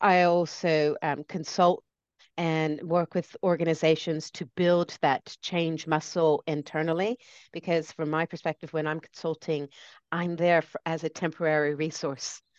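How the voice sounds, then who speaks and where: Talking at a fairly slow pace, a woman with an American accent uses a fairly low pitch and a flat, monotone delivery. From US, lives in Britain. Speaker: change consultant and speaker. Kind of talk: interview conversation.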